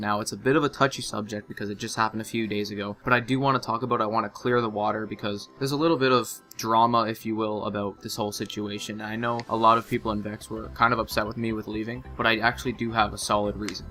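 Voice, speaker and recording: Music plays in the background as a man speaks at a very fast pace. His pitch is medium, with ordinary variation. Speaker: gaming clan designer. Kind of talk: gaming commentary. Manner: casual, candid.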